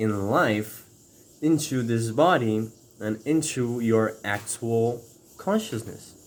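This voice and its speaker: In a non-native accent, a man speaks at medium pitch with ordinary pitch variation. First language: not English. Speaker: spiritual video creator. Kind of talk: spiritual talk to camera. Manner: halting with fillers.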